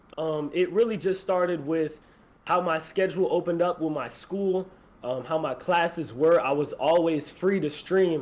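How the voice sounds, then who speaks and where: A man with an American accent talks at a moderate pace and a high pitch. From Florida. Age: 20s. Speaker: streamer. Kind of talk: casual chat.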